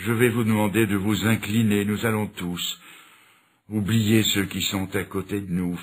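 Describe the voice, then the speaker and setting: Very slowly, a man speaks in a fairly low voice. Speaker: preacher. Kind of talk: sermon.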